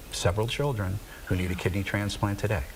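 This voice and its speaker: A man's voice over noticeable background noise. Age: 60s. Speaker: nonprofit director and kidney donor. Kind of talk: TV interview. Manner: hesitant, many fillers.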